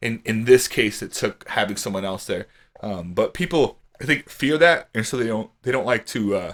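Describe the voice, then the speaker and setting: A medium-pitched man's voice with an American accent, lively intonation and a moderate pace. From Louisiana. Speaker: podcast host. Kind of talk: casual chat. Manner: outspoken, loud.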